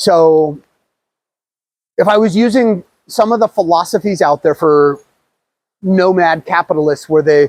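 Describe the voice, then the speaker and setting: In an American accent, a man speaks high for a male voice with lively intonation at a moderate pace. The sound is dry and close, with no echo. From United States. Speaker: travel vlogger. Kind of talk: casual talk to camera. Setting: outdoors.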